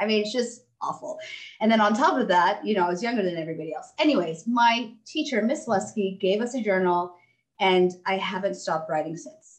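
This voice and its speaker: A woman with an American accent and an ordinary speaking voice talks at a fairly quick pace, her medium pitch carrying lively intonation. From Texas. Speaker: doctor and author. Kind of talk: interview.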